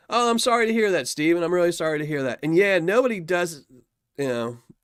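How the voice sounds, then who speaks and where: A man with a Southern US accent, very wide pitch swings, and a dry, close sound with no echo on a very clean recording with a silent background. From US South. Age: 50s. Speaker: YouTuber reviewing gold paydirt. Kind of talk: live stream chat with viewers. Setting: live stream. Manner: casual, rambling.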